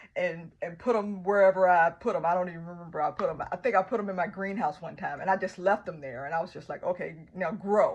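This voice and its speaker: In a Southern US accent, a woman talks at a medium pitch. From US South. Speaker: gardening vlogger. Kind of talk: tutorial. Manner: casual, with frequent fillers.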